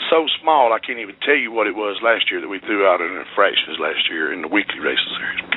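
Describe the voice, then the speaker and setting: A man talks at a very fast pace with hardly any pauses. Noticeable background noise sits behind him. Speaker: race director. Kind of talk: radio interview.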